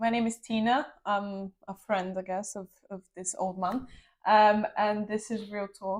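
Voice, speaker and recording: Speaking with a strong Bulgarian accent, a woman keeps a monotone, flat intonation at medium pitch and a fairly slow pace. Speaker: podcast guest. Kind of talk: casual chat.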